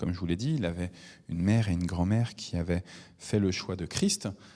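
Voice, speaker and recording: The background is completely silent in this very clean recording. A man talks throughout. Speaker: preacher. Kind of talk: bible teaching. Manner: halting, many hesitations.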